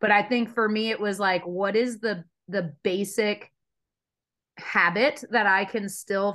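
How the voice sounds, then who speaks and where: An unremarkable speaking voice at a fairly slow pace, with ordinary pitch variation and a quiet background. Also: woman. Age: 30s. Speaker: fitness coach and podcast co-host. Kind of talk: casual chat.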